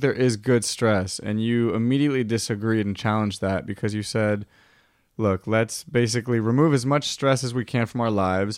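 In a very clean recording with a silent background, a man with an American accent talks at a fairly quick pace in a medium pitch with ordinary pitch variation and an unremarkable speaking voice. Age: 30s. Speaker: podcast host. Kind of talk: casual chat.

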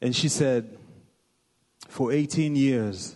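A man with an American accent at a very slow pace, with ordinary pitch variation. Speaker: visiting pastor from Kenya. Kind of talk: greeting speech in a church. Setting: church.

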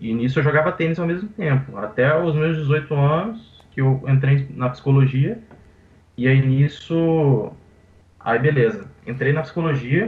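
Somewhat breathy speech unfolds at a fairly slow pace. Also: man, fairly high pitch for a man, ordinary pitch variation. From Brazil, Vitória, Espírito Santo. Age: 20s. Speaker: professional poker player. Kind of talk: interview.

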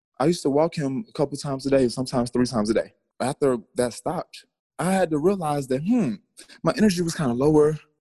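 Speaking very fast, a man uses a fairly high pitch with ordinary variation and a dark, mellow tone, recorded dry and close with no echo. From US South, Atlanta, Georgia. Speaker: fitness studio owner and trainer. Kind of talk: casual interview chat.

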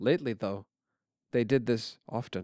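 Speaking at a moderate pace, a man with a medium pitch talks with an American accent. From Brooklyn, New York. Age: 20s. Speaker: student writer. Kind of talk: reading aloud.

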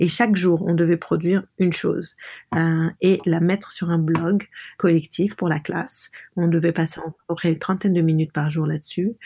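A woman speaks at a moderate pace with fairly even intonation and a fairly low pitch. Her voice is somewhat breathy, with a dark, mellow tone. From Lebanon. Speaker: artist and designer. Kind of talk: interview. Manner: halting.

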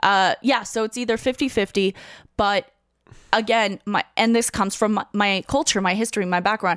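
This very clean recording with a silent background has a woman speaking at a moderate pace, medium in pitch, with fairly even intonation. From Ukraine. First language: Russian. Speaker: comedian. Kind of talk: casual interview chat.

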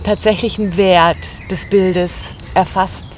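Against noticeable background noise, a woman speaks fairly slowly at a medium pitch with monotone, flat intonation. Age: 30s. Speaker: podcast co-host. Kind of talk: casual chat. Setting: outdoors by a river.

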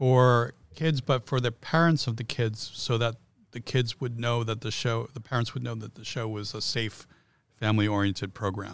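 Speaking at a moderate pace with a medium pitch and fairly even intonation, a man has an unremarkable speaking voice whose loudness swings widely, on a very clean recording with a silent background. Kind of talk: casual chat.

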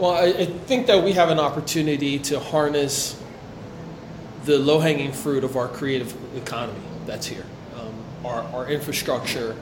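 With an American accent, a man speaks at a fairly high pitch and a moderate pace, with ordinary pitch variation, big swings in loudness and long, frequent pauses. Noticeable background noise and audible room echo are present. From New Jersey, Ewing near Trenton. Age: 40s. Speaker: community organizer. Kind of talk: interview. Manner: halting, many fillers.

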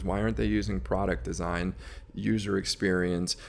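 A man's voice carries vocal fry as he moves along at a fairly quick pace. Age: 40s. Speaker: entrepreneur, company CEO. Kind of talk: interview. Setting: studio.

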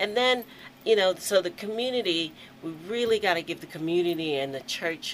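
Moderate pacing from a woman with an American accent. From Aberdeen, Maryland (US Mid-Atlantic). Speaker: museum executive director. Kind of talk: radio interview.

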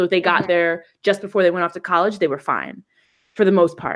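Someone with an American accent talks at a fairly quick pace in an ordinary speaking voice. The recording is very clean with a silent background. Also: woman. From New Jersey, US. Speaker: podcast co-host. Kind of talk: casual chat.

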